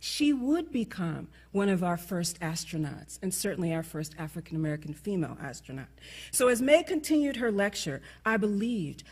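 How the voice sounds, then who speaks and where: Somewhat breathy, a woman in a New York accent sweeps through very wide pitch swings. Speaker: conference speaker. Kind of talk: closing speech. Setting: stage with audience. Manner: fast.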